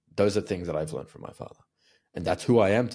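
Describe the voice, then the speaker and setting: Over a very clean recording with a silent background, a man with an Australian accent speaks in a very deep, low pitch. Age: 30s. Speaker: communication coach. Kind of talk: interview conversation.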